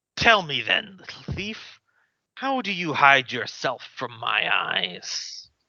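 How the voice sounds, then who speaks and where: In a put-on character voice, a man talks high-pitched at a fairly slow pace. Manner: grand, commanding.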